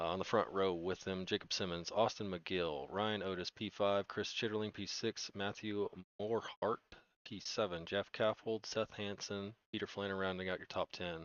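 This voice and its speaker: A soft-spoken man at a moderate pace with fairly even intonation. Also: fairly low pitch for a man. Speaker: sim racing broadcast commentator. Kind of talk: live commentary. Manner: casual, jokey.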